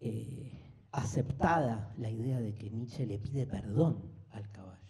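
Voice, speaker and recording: A somewhat breathy, dark, mellow tone at a fairly slow pace, with big swings in loudness, ordinary pitch variation and audible room echo. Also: man, medium pitch for a man. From Argentina, Buenos Aires. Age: 50s. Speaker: philosophy lecturer. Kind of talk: lecture. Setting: live class with audience. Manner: animated, conversational.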